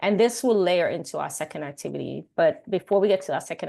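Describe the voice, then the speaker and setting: Against a quiet background, a woman with a Caribbean accent talks at a fairly quick pace and medium pitch, with lively intonation. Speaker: workshop facilitator. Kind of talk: workshop presentation.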